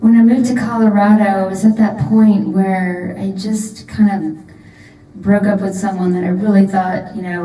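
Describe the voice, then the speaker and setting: A woman's medium-pitched voice carries through audible echo in the room. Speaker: singer-songwriter. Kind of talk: casual chat.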